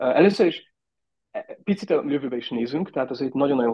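A man's voice with lively intonation. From Austria (raised abroad, schooled in Austria). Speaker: tourism innovation director. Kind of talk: interview. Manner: halting, many fillers.

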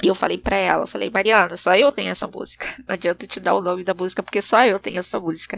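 Very fast and marked by vocal fry, a woman's medium-pitched voice holds fairly even intonation in a dry, close sound with no echo. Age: 30s. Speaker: podcast host. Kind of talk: casual monologue.

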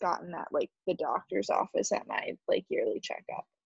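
A woman talks at a fairly slow pace, her voice dry and close with no echo. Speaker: podcast co-host. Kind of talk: casual chat. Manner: casual, chatty.

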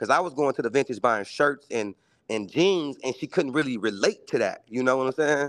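A man with an American accent talks in a plain, everyday voice at a medium pitch with ordinary pitch variation and a fairly quick pace. The sound is dry and close with no echo, and the background is quiet. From Milwaukee, US Midwest. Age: 30s. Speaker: entrepreneur and sneaker reseller. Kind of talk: casual chat. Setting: video call.

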